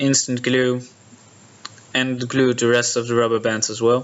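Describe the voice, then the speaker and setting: Through noticeable background noise, a man of medium pitch speaks slowly-ish, at a fairly slow pace, with a Dutch accent. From Netherlands. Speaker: prop maker. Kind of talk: tutorial narration.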